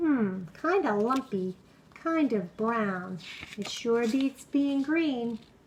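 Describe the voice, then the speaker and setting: A put-on character voice at a very slow pace. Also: woman, fairly high pitch for a woman. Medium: read story. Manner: eager, energetic.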